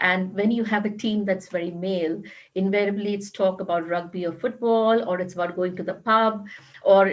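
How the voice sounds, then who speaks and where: A woman's voice with a strong Indian accent, monotone and flat, at a moderate pace. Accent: Indian, still strong. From India, Mumbai. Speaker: corporate HR executive. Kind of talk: panel discussion.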